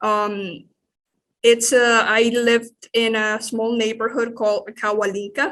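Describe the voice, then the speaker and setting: A woman with a Spanish accent, fairly high-pitched, at a fairly slow pace, in a flat monotone. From Nicaragua, Managua. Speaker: church staff member, legal immigrant. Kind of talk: interview. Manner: halting.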